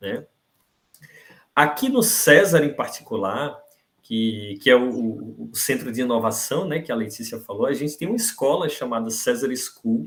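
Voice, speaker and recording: A man with a strong northeastern Brazilian accent speaks fairly slowly at a medium pitch with lively intonation. The recording is very clean, with a silent background. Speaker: university professor, invited speaker. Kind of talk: lecture. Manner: hesitant, repeats words.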